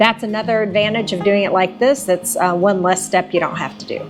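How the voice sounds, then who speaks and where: A woman at a moderate pace with an American accent, music in the background. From Texas. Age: 60s. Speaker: farmer. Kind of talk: how-to tutorial talk to camera.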